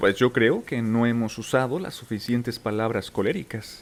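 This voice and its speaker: A calm tone at a moderate pace. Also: man. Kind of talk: audiobook narration. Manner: calm, relaxing.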